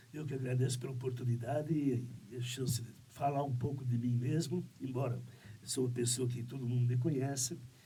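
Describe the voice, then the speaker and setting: Amid audible room echo, a man with a medium pitch talks at a fairly quick pace in a somewhat breathy, monotone, flat voice. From Santa Catarina, southern Brazil. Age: 70s. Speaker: business owner. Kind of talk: interview podcast. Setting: studio. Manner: halting, with many fillers.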